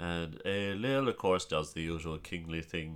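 With a strong Kerry accent, a man speaks at a very deep, low pitch. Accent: strong Kerry Irish. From Ireland, County Kerry. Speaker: storyteller. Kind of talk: casual chat about folklore.

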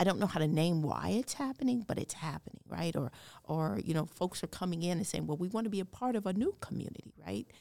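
A woman's fairly low voice with vocal fry, lively intonation and a very fast pace. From Denver, Colorado. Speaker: city diversity director. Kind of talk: interview conversation.

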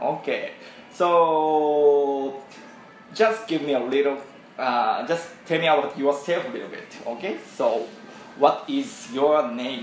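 Music plays in the background as a man speaks very slowly with long, frequent pauses. His fairly high voice has lively intonation and a Japanese accent. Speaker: podcast host, English learner. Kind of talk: bilingual conversation lesson. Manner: halting, many fillers.

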